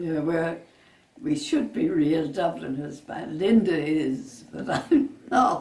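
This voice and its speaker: In a western Irish accent, a woman speaks at a very slow pace with big swings in loudness and audible room echo. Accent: Irish, west of Ireland. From Ireland, Westport, County Mayo; County Mayo, Ireland. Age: 80s+. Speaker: retired tour guide. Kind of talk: interview; interview answer. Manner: halting. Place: home room. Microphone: camera far.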